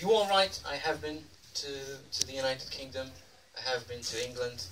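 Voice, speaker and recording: A man's lively intonation at a fairly quick pace, with audible room echo and noticeable background noise. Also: medium pitch for a man, big swings in loudness. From Poland. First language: Polish. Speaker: comedian. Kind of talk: stand-up. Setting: stage with audience. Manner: halting, many fillers.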